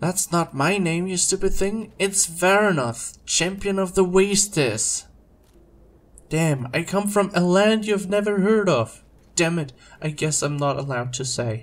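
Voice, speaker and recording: A man puts on a character voice. It is pitched high and moves at a moderate pace. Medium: read story. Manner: loud, bragging.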